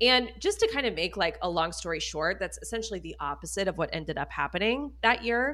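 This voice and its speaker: On a very clean recording with a silent background, a woman talks at a fairly quick pace with hardly any pauses. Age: 30s. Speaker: spending coach. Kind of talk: casual chat.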